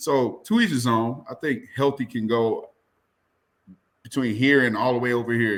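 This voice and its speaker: A man speaks at a moderate pace with a medium pitch. His is a plain, everyday voice. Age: 30s. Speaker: podcast guest. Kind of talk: casual chat.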